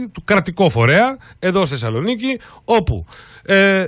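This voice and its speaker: At a moderate pace, the voice makes very wide pitch swings in a dry sound with no echo and a quiet background. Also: man. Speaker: radio show host. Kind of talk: radio news talk, introducing a guest. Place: studio.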